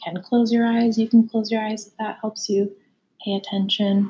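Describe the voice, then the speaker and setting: Dark, mellow, somewhat breathy woman's voice in a monotone, flat intonation. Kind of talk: guided meditation. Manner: calm, unhurried and soothing; gently conversational, inviting rather than commanding.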